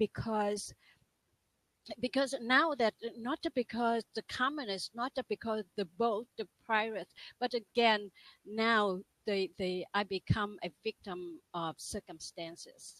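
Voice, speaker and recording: A very slow pace with ordinary pitch variation and a Vietnamese accent, in a dry, close sound with no echo. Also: woman. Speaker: life and business coach. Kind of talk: interview testimony. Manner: halting.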